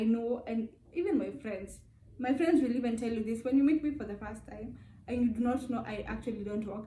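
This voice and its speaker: A woman with a high pitch, ordinary pitch variation and a dark, mellow tone, set against audible room echo. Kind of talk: casual vlog talk.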